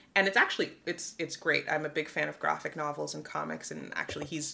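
This voice has an American accent and noticeable vocal fry. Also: woman. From New York City, the Bronx. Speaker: philanthropy executive. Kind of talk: interview. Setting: hotel room.

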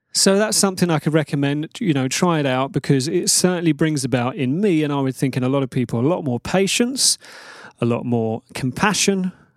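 An ordinary speaking voice at a moderate pace with lively intonation, recorded very cleanly against a silent background with a dry, close sound and no echo. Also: man. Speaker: podcast host. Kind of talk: solo monologue podcast.

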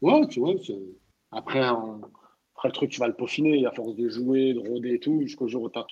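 Fairly even in intonation and medium in pitch, a man speaks at a fairly quick pace. His loudness swings widely, and long, frequent pauses break up the speech. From France, Châteauroux (Moroccan family). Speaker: comedian. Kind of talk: casual chat. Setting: online audio room. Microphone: sound problem with his mic.

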